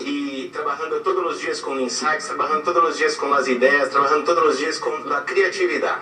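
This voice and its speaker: Music plays in the background, and the room echo is audible. A man with a Portuguese accent speaks at a moderate pace. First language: Portuguese (speaking Spanish). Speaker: advertising creative director. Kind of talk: guest lecture.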